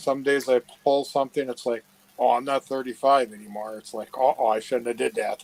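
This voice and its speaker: Fairly quick speech from a man with an American accent, an ordinary speaking voice, medium pitch, fairly even intonation and big swings in loudness, in a dry, close sound with no echo. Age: 60s. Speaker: relative of a case subject. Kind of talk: casual chat. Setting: live video chat.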